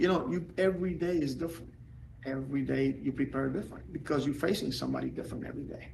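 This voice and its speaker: A man talking very fast, with audible room echo. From Puerto Rico. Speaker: former pro baseball player and coach. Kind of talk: podcast interview. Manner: animated.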